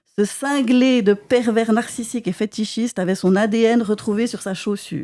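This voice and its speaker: A woman's fairly high voice, dark and mellow in tone, at a fairly slow pace with ordinary pitch variation, on a very clean recording with a silent background. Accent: Swiss. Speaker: comedian. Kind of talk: stand-up comedy chronicle. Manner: animated.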